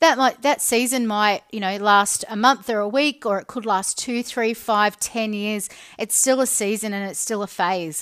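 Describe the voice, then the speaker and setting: A woman with an Australian accent, fairly high-pitched, at a moderate pace with hardly any pauses, on a very clean recording with a silent background. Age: 40s. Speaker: podcast host. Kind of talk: solo monologue podcast. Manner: flat.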